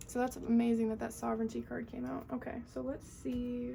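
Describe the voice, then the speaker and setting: There is noticeable background noise as a woman talks with an American accent. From US Northeast. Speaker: tarot reader. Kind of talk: tarot reading to camera. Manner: fast.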